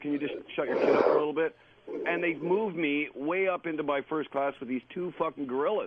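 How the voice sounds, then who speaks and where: Through noticeable background noise, a man talks very fast with a fairly high pitch and fairly even intonation. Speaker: caller. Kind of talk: phone-in storytelling. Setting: phone call.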